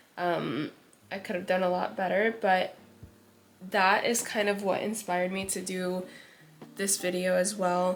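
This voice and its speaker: Quiet and flat, a woman at medium pitch speaks at a fairly slow pace with long, frequent pauses. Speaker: beauty vlogger. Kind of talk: makeup tutorial chat.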